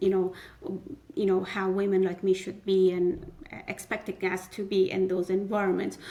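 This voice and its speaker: A woman speaks at a moderate pace and medium pitch. Her intonation is monotone and flat, with noticeable background noise behind her. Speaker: community leader. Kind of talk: podcast interview. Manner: halting with fillers.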